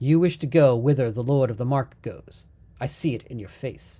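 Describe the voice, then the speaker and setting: Someone performs a put-on character voice at a low-to-middle pitch and a moderate pace. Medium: read story. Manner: solemn, archaic.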